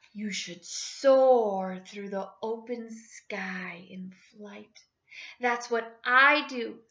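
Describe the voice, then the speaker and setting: Using a put-on character voice, a woman speaks at a fairly high pitch. Her pace is very slow. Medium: read story.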